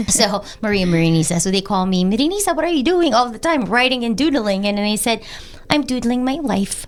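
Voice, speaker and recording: Talking at a fairly quick pace, a woman with a fairly high pitch makes very wide swings in pitch. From Philippines. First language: Filipino (Tagalog). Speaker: podcast host. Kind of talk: casual interview chat.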